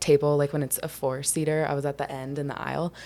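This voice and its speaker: A woman speaks in an American accent at a fairly quick pace. Her pitch is very deep and low. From US South, Charleston, South Carolina. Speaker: filmmaker. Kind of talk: podcast interview. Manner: casual, filler-heavy.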